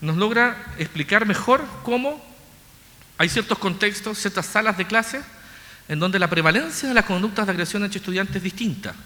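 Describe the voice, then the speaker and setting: In a Chilean accent, a man speaks at a fairly quick pace with a high pitch. His voice is raised and projected, with lively intonation. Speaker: researcher. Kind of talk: lecture. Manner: fast; mumbling.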